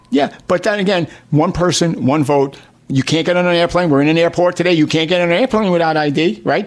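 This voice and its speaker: With a New York accent, a man speaks very fast at a high pitch and keeps his loudness very even. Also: ordinary pitch variation. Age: 60s. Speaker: state politician. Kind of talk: radio talk show interview. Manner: animated.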